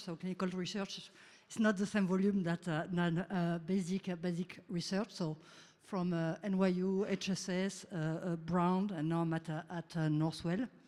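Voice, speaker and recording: The speech moves at a moderate pace in a French accent. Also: woman, medium pitch for a woman, fairly even intonation. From France. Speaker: researcher and startup founder. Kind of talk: conference talk. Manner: halting, many fillers.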